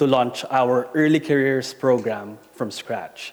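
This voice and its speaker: A man speaks with an Asian accent. His intonation stays fairly even. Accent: Asian accent, noticeable. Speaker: corporate talent and employer brand director. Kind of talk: conference presentation.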